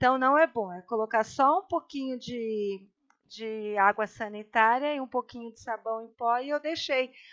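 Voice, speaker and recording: A woman with an unremarkable speaking voice talks at a fairly slow pace and a fairly high pitch, with ordinary pitch variation but big swings in loudness. The sound is dry and close with no echo, over a quiet background. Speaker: guest, host's mother. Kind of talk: casual chat.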